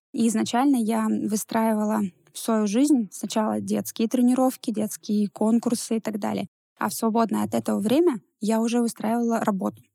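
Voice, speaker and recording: The tone is dark and mellow, with fairly even intonation at a moderate pace. The sound is dry and close, with no echo. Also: woman, fairly high pitch for a woman. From Russia, Ivanovo. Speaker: entrepreneur. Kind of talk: interview. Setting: studio.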